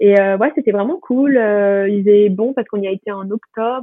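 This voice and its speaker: Her intonation is fairly even and her pitch medium. The woman keeps a moderate pace. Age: 20s. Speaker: student. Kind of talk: casual chat. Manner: halting. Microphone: poor sound quality.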